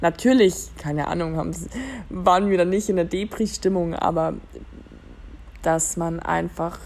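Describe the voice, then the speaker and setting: A woman talks at a fairly slow pace. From Germany. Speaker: podcast host. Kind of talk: casual monologue. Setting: lying in bed at home. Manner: hesitant, many fillers.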